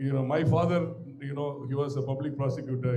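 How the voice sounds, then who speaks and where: A man speaks at a fairly quick pace in a fairly high voice. Audible room echo and noticeable background noise fill the recording. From Tamil Nadu village, India. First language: Tamil. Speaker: maxillofacial surgeon and professor. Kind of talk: guest lecture. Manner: conversational, digressive.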